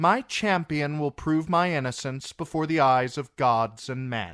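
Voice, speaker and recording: A man's put-on character voice at a fairly high pitch and moderate pace, with ordinary pitch variation, dry, close sound with no echo and a very clean recording with a silent background. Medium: read story. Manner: cool, defiant.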